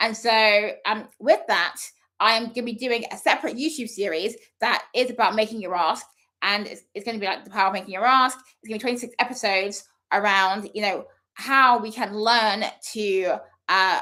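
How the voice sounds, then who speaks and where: A woman with a fairly high pitch and a bright, sharp tone speaks with big swings in loudness. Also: ordinary pitch variation, moderate pace. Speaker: speaker coach. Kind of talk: live session monologue. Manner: stumbles over words.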